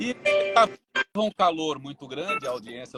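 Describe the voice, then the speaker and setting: A man's voice, dry and close with no echo. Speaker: radio announcer. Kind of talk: interview answer.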